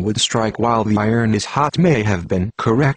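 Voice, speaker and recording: Recorded with a dry, close sound and no echo, a man speaks in a plain, everyday voice at medium pitch and moderate pace. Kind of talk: conspiracy news narration.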